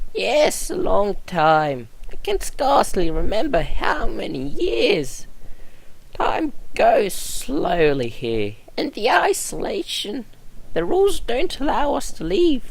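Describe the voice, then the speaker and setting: A man puts on a character voice at a fairly slow pace, with light background noise behind him. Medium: solo performance. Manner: polite, fussy.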